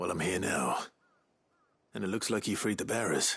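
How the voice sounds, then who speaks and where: A man puts on a character voice, raspy and fairly low in pitch. His tone is calm and his pace moderate. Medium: video game. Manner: calm, assured.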